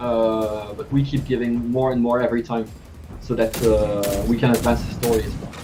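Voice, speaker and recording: With a French accent, a man speaks at a medium pitch and a moderate pace amid audible room echo and noticeable background noise. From France. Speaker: game writer. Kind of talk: casual chat. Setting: live stream.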